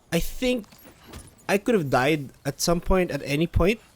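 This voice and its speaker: The voice is quiet and moves at a fairly slow pace. Its pitch swings very widely. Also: man. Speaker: gaming streamer. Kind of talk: live gameplay commentary. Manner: halting.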